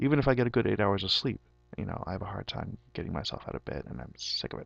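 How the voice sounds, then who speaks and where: A man speaks with vocal fry and very wide pitch swings. His loudness also swings a lot. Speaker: physics graduate student giving testimonial. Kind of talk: testimony. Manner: halting, with fillers.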